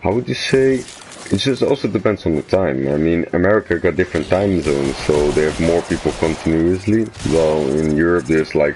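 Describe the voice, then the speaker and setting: Over noticeable background noise, a man with a Dutch accent and a very deep, low pitch talks at a fairly quick pace with lively intonation. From Netherlands. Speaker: gaming streamer. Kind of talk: casual chat. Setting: live game stream. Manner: halting.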